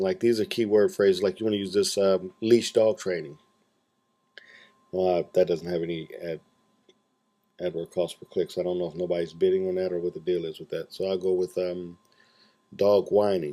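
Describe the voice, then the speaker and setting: A man with a very deep, low pitch and monotone, flat intonation, at a moderate pace with long, frequent pauses. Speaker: online marketing tutor. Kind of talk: screencast tutorial. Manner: casual, with many fillers.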